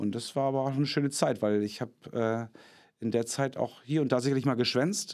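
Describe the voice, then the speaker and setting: This man has a plain, everyday voice and a fairly quick pace. The recording is very clean, with a silent background. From northern Germany. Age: 40s. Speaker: actor and puppeteer. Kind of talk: casual interview.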